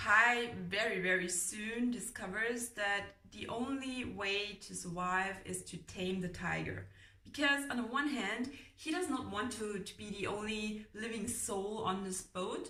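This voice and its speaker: Noticeable background noise sits behind a woman. She speaks at a fairly slow pace with a fairly high pitch. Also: ordinary pitch variation. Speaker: book reviewer. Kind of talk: casual book review talk to camera. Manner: rambling, chatty.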